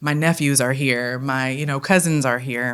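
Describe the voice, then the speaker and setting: A woman with a strong Detroit accent speaks at a moderate pace, her very deep, low pitch held in fairly even intonation. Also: very clean recording, silent background. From Detroit, Michigan (West Seven Mile). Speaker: theatre company director. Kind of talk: interview. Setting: indoors at a college campus.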